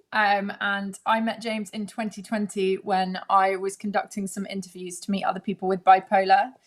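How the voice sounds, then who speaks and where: A woman with a British accent. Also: hardly any pauses. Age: 20s. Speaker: presenter and mental health advocate. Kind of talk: live-streamed panel discussion. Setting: live stream.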